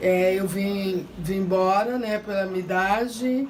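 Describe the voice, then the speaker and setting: A woman at medium pitch speaks very slowly with fairly even intonation, her voice carrying audible room echo over noticeable background noise. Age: 60s. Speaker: favela resident. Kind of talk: interview.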